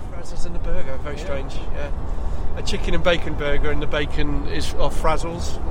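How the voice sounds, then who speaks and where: A man with an English accent talks at a fairly quick pace. Audible room echo and noticeable background noise are present. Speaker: tabletop game podcast co-host. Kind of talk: casual chat. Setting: on location at a tournament. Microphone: poor on-location sound quality.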